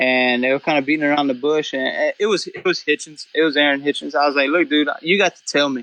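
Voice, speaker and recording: Very fast, fairly high male voice with a bright, sharp tone, dry and close with no echo. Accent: South Louisiana. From South Louisiana (Cajun). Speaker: duck hunter and photographer. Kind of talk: casual podcast chat. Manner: animated, casual with many fillers.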